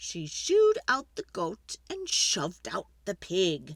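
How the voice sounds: Speaking at a slow pace, a woman with a fairly low pitch makes very wide pitch swings.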